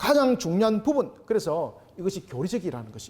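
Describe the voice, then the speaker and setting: A man with high pitch and very wide pitch swings at a fairly quick pace. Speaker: pastor and Bible teacher. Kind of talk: lecture. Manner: animated, conversational.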